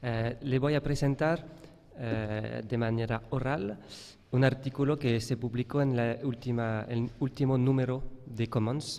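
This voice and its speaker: With fairly even intonation, a man speaks slowly at a medium pitch. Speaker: professor. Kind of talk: conference talk read from paper. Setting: conference hall with audience. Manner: halting, hesitant.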